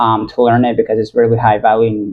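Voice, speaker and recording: A fairly quick pace from a man with an American accent. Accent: American-sounding. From Italy. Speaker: copywriter vlogger. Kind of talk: casual vlog monologue. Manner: halting, many fillers.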